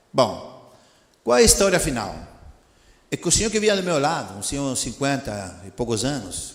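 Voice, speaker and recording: A man talks at a moderate pace with very wide pitch swings. Audible room echo surrounds the recording. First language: Spanish (speaking Portuguese). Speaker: missionary preacher. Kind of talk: sermon. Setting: church. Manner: animated.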